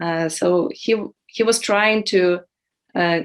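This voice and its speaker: Her medium-pitched voice moves at a very slow pace with fairly even intonation as this woman speaks. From western Ukraine. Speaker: poet and translator. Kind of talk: interview. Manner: hesitant, many fillers.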